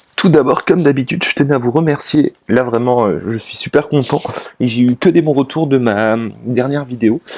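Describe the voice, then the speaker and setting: The speaker is a man with a medium pitch. He talks at a fairly slow pace with ordinary pitch variation. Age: 20s. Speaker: finance YouTuber. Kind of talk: casual talk to camera. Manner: halting, many fillers.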